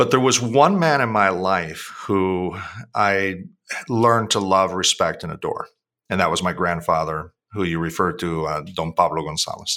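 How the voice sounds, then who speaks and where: The voice has a bright, sharp tone and a Spanish accent, with ordinary pitch variation at a moderate pace. The recording is very clean, with a silent background. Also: man, very deep, low pitch for a man. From Puerto Rico / US. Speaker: author and CEO. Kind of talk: casual interview conversation.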